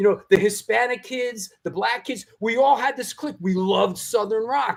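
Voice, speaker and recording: The speaker talks at a moderate pace in a New York accent. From New York City (Bronx). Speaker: podcast host. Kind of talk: casual chat.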